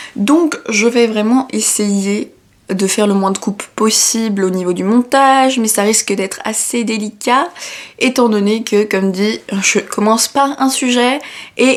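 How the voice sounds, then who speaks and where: A woman at a very slow pace, ordinary pitch variation, noticeable background noise behind her. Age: 20s. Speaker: design student, YouTuber. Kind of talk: casual talk to camera. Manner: rambling, chatty, hesitant.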